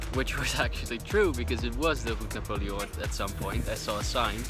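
Clear music plays in the background as a man speaks at a moderate pace. The sound is dry, with no echo. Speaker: travel vlogger. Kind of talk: casual vlog chat. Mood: excited, amazed. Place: open country. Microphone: phone near.

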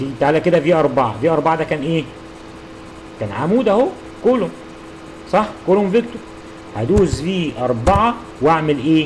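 A man's voice makes very wide pitch swings, broken by long, frequent pauses. Noticeable background noise runs underneath. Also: fairly high pitch for a man, moderate pace. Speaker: university lecturer. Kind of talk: tutorial.

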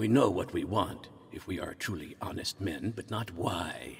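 A man adopts a put-on character voice, keeping his pitch in the medium range. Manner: earnest, pleading, formal.

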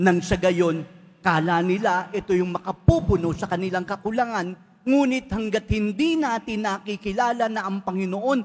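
Lively in intonation, a high-pitched man talks at a moderate pace. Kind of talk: preacher homily, rhetorical questions to congregation in Taglish. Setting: church. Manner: gentle, polite pleading tone with frequent 'po'; reflective, questioning, drawing listeners in.

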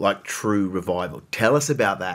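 A man with a fairly low voice speaks at a moderate pace against a quiet background. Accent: Australian. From Queensland, Australia (Brisbane); Queensland. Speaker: podcast host. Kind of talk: casual chat. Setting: studio. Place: home room.

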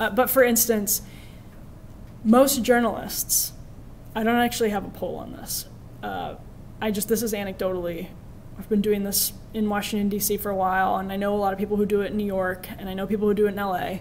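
A woman with an American accent, monotone, flat intonation and fairly quick pace, over light background noise. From Wisconsin, rural. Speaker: journalist and media commentator; journalist, media commentator. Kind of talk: lecture. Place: classroom. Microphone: podium.

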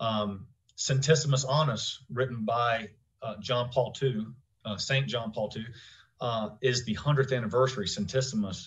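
A somewhat breathy male voice at a moderate pace, with ordinary pitch variation, over a quiet background. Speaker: podcast host. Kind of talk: interview question and commentary. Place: home room. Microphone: studio mic.

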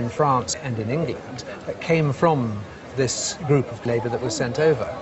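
Over noticeable background noise, a man with a British accent speaks with lively intonation. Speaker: antiques specialist. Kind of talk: casual chat.

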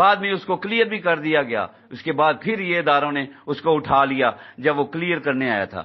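A man speaks in an animated tone, his fairly high voice making very wide pitch swings. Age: 60s. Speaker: aggrieved investor, vlogger. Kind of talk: impassioned appeal to fellow investors. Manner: animated, exhortative.

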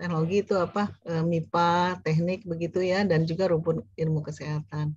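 A woman talks at a fairly slow pace in a dark, mellow, somewhat breathy tone with a fairly low pitch. The sound is dry with no echo, and the background is quiet. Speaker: course coordinator, lecturer; lecturer. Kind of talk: lecture. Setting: video call. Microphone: webcam.

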